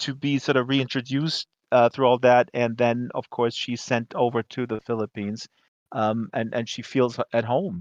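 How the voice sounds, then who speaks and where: With a dry, close sound, no echo and a quiet background, a man at medium pitch talks at a moderate pace with fairly even intonation. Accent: slight German. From Germany. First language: German. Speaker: talk show host. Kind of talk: casual chat.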